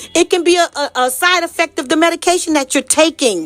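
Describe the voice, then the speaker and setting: A woman's animated tone with ordinary pitch variation, in a dry, close sound with no echo. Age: 60s. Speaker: health and wellness advocate. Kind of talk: casual monologue.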